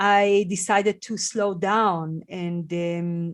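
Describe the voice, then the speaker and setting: Against a quiet background, a woman with a non-native accent speaks at medium pitch with fairly even intonation. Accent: foreign. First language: not English. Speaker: podcast host. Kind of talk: podcast interview conversation. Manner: halting, many fillers.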